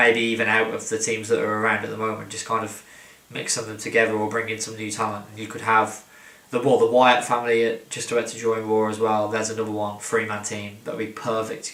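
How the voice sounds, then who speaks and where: Very fast, mumbling speech in a monotone, flat intonation over noticeable background noise. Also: man. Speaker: wrestling commentator. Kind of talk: casual talk to camera. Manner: rambling, mumbling.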